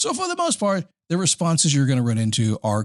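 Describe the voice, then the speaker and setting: Talking at a very fast pace, a man swings his pitch very widely, recorded with a dry, close sound and no echo. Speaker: podcast host; voiceover and spokesperson performer. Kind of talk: motivational podcast talk. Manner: casual, conversational.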